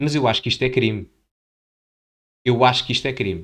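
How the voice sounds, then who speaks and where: With an animated tone, a man talks at a fairly quick pace, medium pitch and ordinary pitch variation. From Portugal. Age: 20s. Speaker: political commentator youtuber. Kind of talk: video commentary.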